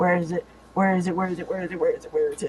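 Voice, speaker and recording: Clear background noise runs behind a put-on character voice. The delivery is very fast. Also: man. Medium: actual play. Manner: blunt, excitable.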